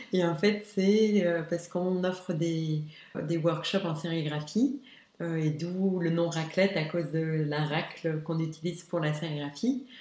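Audible room echo surrounds a dark, mellow voice that moves at a fairly slow pace with ordinary pitch variation. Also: woman, fairly low pitch for a woman. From Luxembourg. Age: young. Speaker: graphic designer. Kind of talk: interview. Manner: animated.

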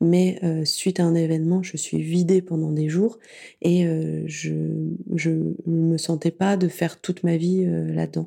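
Speech unfolds at a fairly slow pace. The background is silent in this very clean recording. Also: woman. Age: 30s. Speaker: podcast app founder and podcast consultant. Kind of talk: casual interview.

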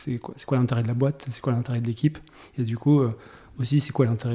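A man talks with a dark, mellow tone at a medium pitch. His voice is somewhat breathy, and his intonation stays fairly even. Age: 40s. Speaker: tech executive (CTO). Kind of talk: interview conversation. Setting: studio, face to face. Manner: halting, many repetitions.

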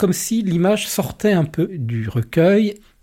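A man speaks with a dark, mellow tone that is somewhat breathy. His pitch swings very widely, and the recording is very clean with a silent background. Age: 50s. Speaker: lay pastoral worker. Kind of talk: interview testimony.

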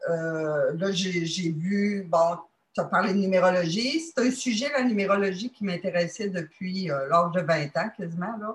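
With a Quebec accent, a woman speaks at a fairly slow pace in a somewhat breathy, medium-pitched voice with ordinary pitch variation. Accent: Québécois French. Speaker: dating site member. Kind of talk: testimony. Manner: halting.

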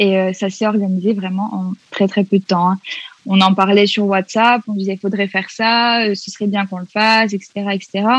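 At a fairly slow pace, a woman speaks at a medium pitch with monotone, flat intonation in a dry, close sound with no echo. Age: 20s. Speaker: feminist activist and psychology student. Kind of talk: casual interview.

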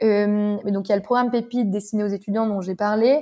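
This woman's voice sits at a medium pitch, with a dark, mellow tone and fairly even intonation. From northern France, Lille. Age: 20s. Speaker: startup program director. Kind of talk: podcast interview.

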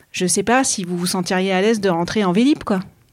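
A woman talks fairly quickly in a plain, everyday voice, with medium pitch and ordinary pitch variation. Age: 40s. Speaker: podcast host. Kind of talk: interview conversation. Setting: interviewees' office.

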